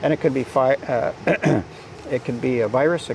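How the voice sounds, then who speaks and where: A man speaks at a moderate pace, the sound dry with no echo but with noticeable background noise. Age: 70s. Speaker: interviewee. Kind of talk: interview answer. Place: garden. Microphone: lapel.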